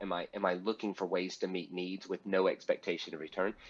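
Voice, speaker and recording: A man is speaking. He has a Southern US accent. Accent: Southern American. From US South. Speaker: pastor and speaker. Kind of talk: interview.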